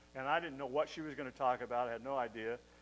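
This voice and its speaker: Fairly even intonation, with music in the background. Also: man. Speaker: pastor. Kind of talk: sermon. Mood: warm, joking. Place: church. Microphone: podium.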